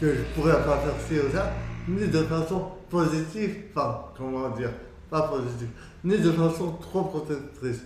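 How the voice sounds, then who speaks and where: A man speaking at a very slow pace with ordinary pitch variation, audible room echo, and music in the background. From France, Moroccan heritage. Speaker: entrepreneur and traveller. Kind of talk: casual interview. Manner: halting.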